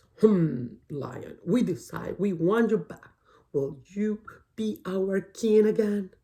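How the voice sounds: A gruff, put-on character voice sits at a middle pitch. It moves at a very slow pace.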